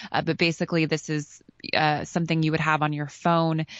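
A woman with an American accent speaks in a very deep, low voice. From United States. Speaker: news correspondent. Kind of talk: radio news interview. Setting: remote link from Berlin.

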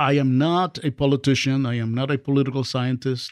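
A man with a Spanish accent talks at a fairly quick pace in a medium pitch with monotone, flat intonation, the sound dry and close with no echo against a quiet background. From Dominican Republic. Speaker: professor. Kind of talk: interview conversation. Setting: studio.

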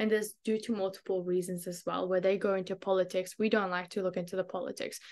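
Very fast, monotone, flat delivery from a woman with an Australian accent at medium pitch, quiet background. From Australia, Queensland (Brisbane); born in Afghanistan. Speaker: community advocate. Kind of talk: interview.

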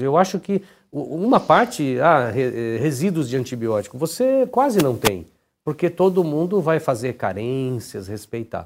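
A man talks at a fairly slow pace with very wide pitch swings, in a very clean recording with a silent background. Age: 50s. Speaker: business executive. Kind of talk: interview.

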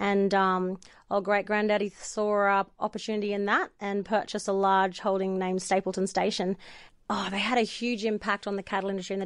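Energetic and fairly quick, a woman with an Australian accent speaks at a medium pitch against a quiet background. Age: 40s. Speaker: boutique owner and photographer. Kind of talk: interview.

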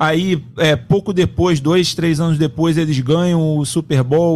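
With a plain, everyday voice, a man talks at a fairly slow pace and a fairly high pitch. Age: 40s. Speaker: sports producer and co-host. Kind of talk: casual chat.

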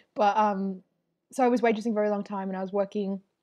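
A woman talks at a very fast pace in an Australian accent. Her pitch is medium, and the background is quiet. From Melbourne western suburbs, Australia. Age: 20s. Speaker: comedian and artist. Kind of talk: casual interview.

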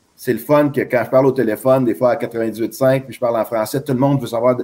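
A man's medium-pitched voice, flat and monotone in intonation. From Quebec. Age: 50s. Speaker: baseball scout. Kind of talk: interview.

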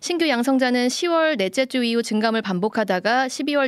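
Very clean recording with a silent background, a woman in an ordinary speaking voice, fairly high in pitch, with lively intonation and a fairly slow pace. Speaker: radio news anchor. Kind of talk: news reading. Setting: studio.

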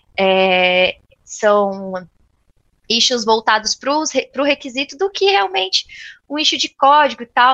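Very slowly and with long, frequent pauses, a woman speaks in a high, bright, sharp voice with very wide pitch swings, in a dry, close sound with no echo. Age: 20s. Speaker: software QA tester and tech influencer. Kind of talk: interview.

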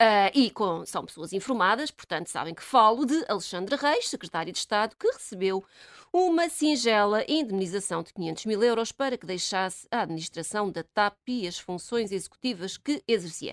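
A woman's fairly high voice with lively intonation and big swings in loudness, a moderate pace with hardly any pauses, and a dry, close sound with no echo in a very clean recording with a silent background. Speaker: radio commentator. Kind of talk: casual chat. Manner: animated.

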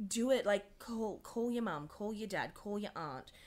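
Speaking in an Australian accent, a woman holds a medium pitch. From Australia, Dubbo, New South Wales. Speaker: casting director. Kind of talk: casual interview.

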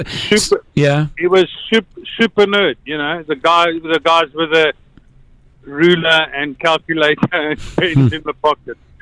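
Speaking at a very slow pace, a man with a South African accent uses a fairly high pitch and fairly even intonation. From born in South Africa to Slovak parents. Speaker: radio caller. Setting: phone.

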